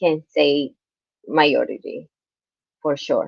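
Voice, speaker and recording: A woman speaks at a fairly slow pace with a Spanish accent. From Colombia. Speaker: guest interviewee. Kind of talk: interview conversation. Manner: halting.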